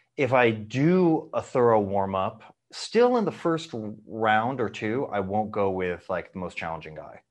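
A man uses a normal speaking voice at medium pitch with lively intonation. He goes at a fairly slow pace against a quiet background. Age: 40s. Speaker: martial arts instructor. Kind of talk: casual chat.

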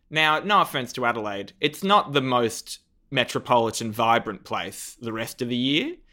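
On a very clean recording with a silent background, a man with an Australian accent talks at a moderate pace and medium pitch, his tone bright and sharp and his intonation lively. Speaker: comedian and TV judge. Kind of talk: casual interview chat. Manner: animated, joking.

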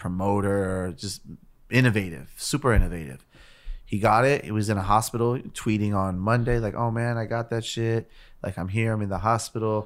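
An ordinary speaking voice at a moderate pace with ordinary pitch variation, recorded very cleanly against a silent background. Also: man, fairly low pitch for a man. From US West Coast, East Los Angeles. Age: 30s. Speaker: musician. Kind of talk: casual chat.

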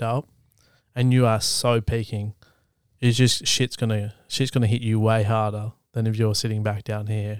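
Here a man talks with an Australian accent at a medium pitch and a moderate pace, his intonation flat and monotone. The recording is very clean with a silent background, dry and close with no echo. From Australia, East Gippsland, country Victoria. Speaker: photographer and videographer. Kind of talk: casual chat.

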